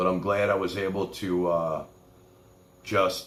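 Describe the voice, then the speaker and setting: Music plays in the background as a man talks in a New York accent. His pitch is very deep and low, and his intonation fairly even. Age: 60s. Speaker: livestream host. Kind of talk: casual chat.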